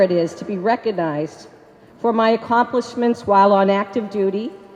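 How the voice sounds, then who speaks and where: Over noticeable background noise, a woman speaks with lively intonation in a Boston accent. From Boston, Massachusetts. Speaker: army veteran, award recipient. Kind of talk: acceptance speech. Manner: loud.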